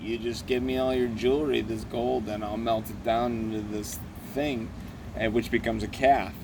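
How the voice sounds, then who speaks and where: Speaking with an American accent, a man of medium pitch keeps a moderate pace, with audible room echo. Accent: Syracuse New York accent when drinking. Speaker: comedy web show host. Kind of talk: casual storytelling while drinking. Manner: halting; animated.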